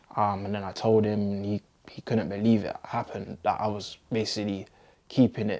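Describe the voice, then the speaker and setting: A dark, mellow tone with a London accent, fairly even intonation and a moderate pace. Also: man, very clean recording, silent background. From London, England. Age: 20s. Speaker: community activist. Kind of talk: interview answer.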